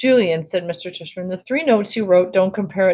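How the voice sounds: The clip has a natural reading voice with ordinary pitch variation.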